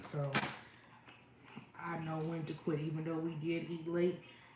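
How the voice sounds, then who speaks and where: A woman with a very deep, low voice speaks at a moderate pace over noticeable background noise, with audible room echo. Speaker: cooking livestreamer. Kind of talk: casual livestream chat. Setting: kitchen livestream.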